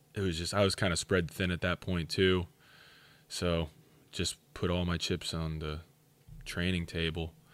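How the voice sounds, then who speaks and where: Long, frequent pauses break a man's very deep, low voice, delivered in a flat monotone at a moderate pace with an American accent. The recording is very clean, with a silent background. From Pennsylvania, Schuylkill County. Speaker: powerlifting coach and gym owner. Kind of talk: casual interview chat.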